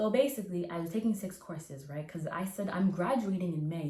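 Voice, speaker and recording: At a fairly quick pace, a woman with an unremarkable speaking voice shows ordinary pitch variation. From Canada (Nova Scotia). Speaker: recent university graduate. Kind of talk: interview answer. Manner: casual, chatty.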